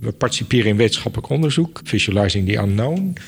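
Noticeable background noise around a man's fairly low-pitched voice. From Netherlands, Apeldoorn (Gelderland). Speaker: museum director. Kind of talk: interview.

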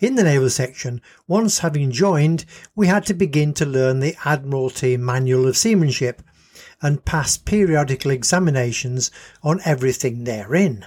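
Speaking at a moderate pace, a man with a fairly high pitch sounds somewhat breathy, his intonation lively and his loudness very even, on a very clean recording with a silent background. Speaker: storyteller. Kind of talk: storytelling narration.

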